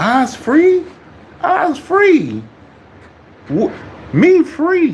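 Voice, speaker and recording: The clip features a put-on character voice at a high pitch. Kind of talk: broken grammar, stereotyped dialect. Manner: mocking, exaggerated.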